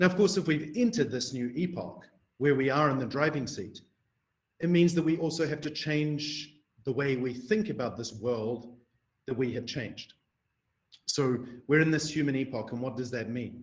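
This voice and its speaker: A man with a New Zealand accent speaks at a moderate pace in a fairly high pitch, somewhat breathy, with ordinary pitch variation and long, frequent pauses, in audible room echo. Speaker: researcher. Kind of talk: lecture.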